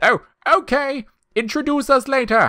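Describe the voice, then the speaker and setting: A man does a put-on character voice at an extremely high pitch. His pace is moderate. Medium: read story. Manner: enthusiastic, exclamatory.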